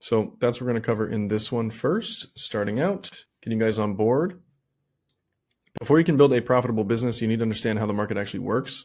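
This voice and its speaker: A medium-pitched male voice on a very clean recording with a silent background. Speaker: online business coach. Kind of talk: tutorial. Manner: fast.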